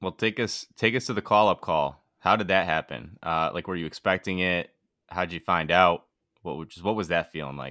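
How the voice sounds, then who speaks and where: A man's very deep, low voice with an American accent and vocal fry, bright and sharp in tone, moderate in pace with ordinary pitch variation, dry and close with no echo on a very clean recording with a silent background. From Bristol, Connecticut. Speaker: podcast co-host. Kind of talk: casual chat.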